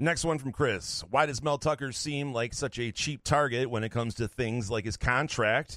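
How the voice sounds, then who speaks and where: Speaking with an unremarkable speaking voice, a man keeps a moderate pace with hardly any pauses, medium pitch and ordinary pitch variation, in a very clean recording with a silent background. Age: 40s. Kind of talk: casual chat.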